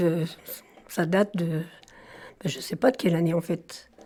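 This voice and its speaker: A woman's voice, somewhat breathy and fairly low-pitched, carries a dark, mellow tone. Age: 70s. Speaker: retired trade unionist, former garment worker. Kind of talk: interview, oral history. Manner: halting, many fillers.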